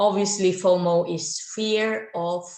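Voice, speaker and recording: A woman with a Filipino accent speaks at a medium pitch, and audible room echo surrounds her voice. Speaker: gaming YouTuber. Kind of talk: video commentary. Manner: hesitant, many fillers.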